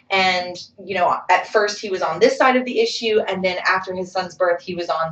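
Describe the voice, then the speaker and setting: A woman talks at a fairly quick pace. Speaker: community college English instructor. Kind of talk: lecture. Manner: fast; casual, filler-heavy.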